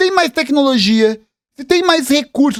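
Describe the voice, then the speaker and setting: Speaking with a Brazilian accent, a man uses an extremely high pitch, lively intonation and an animated tone at a fairly slow pace. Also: dry, close sound with no echo. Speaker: political commentator, history youtuber. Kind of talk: reaction video commentary.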